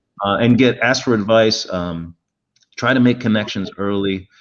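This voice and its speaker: A man speaks in a normal speaking voice at a medium pitch. His pace is fairly quick against a quiet background. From Montreal, Canada. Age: 50s. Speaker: automotive car designer. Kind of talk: panel interview.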